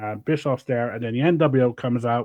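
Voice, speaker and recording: In a British accent, a man speaks with fairly even intonation. His pitch is medium, and the background is quiet. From UK. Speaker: wrestling podcast host. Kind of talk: casual chat.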